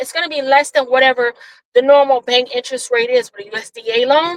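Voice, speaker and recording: In a raised, projected voice, a woman with a high pitch and a bright, sharp tone talks at a fairly quick pace with ordinary pitch variation, the sound dry and close with no echo. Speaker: vlogger giving a driving tour. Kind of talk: casual vlog narration while driving. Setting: in a car. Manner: loud.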